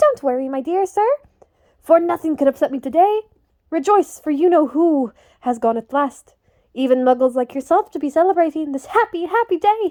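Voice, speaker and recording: Using a put-on, squeaky character voice, a woman talks at an extremely high pitch and a moderate pace with lively intonation. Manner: cheerful, gushing.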